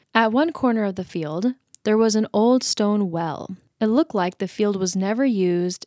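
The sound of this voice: With a quiet background, an unforced reading voice comes through with ordinary pitch variation.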